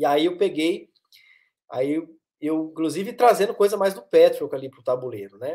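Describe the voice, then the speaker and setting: A man talks at a moderate pace in a Minas Gerais accent. His loudness swings widely against a quiet background. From Minas Gerais, Brazil (Varginha); Minas Gerais, Brazil. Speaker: psychoanalyst and therapist; guest. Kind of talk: interview conversation. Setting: live stream. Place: home room.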